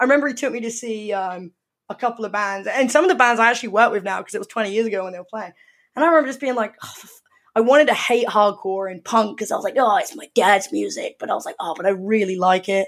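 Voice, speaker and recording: A woman with a southern English accent, a fairly high pitch, a very fast pace and big swings in loudness. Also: ordinary pitch variation. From England, Surrey near London. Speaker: music magazine editor. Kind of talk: interview.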